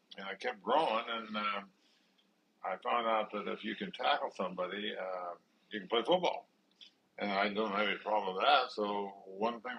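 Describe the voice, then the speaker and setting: This speaker has a Midwestern US accent, a moderate pace and ordinary pitch variation. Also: man. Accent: US Midwest. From Nebraska. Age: 70s. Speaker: retired pro football player. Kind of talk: family interview. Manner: halting.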